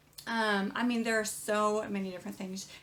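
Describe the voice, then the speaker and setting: There is noticeable background noise behind the speaker. She is a woman with a fairly high pitch. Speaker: small business owner teaching online. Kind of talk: tutorial. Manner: fast.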